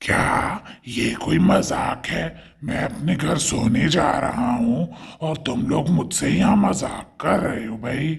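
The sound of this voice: A man uses a cartoonish character voice. His pitch is medium and his pace fairly slow.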